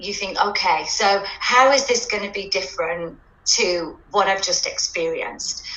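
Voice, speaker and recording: With a British accent, a woman speaks at a medium pitch with ordinary pitch variation, amid noticeable background noise and audible room echo. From UK. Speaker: dance teacher and parent. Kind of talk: testimonial interview. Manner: hesitant, many fillers.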